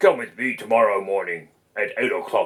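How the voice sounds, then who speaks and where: Here a man uses a put-on character voice that sounds raspy. He speaks at a moderate pace. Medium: read story. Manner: scheming, falsely friendly.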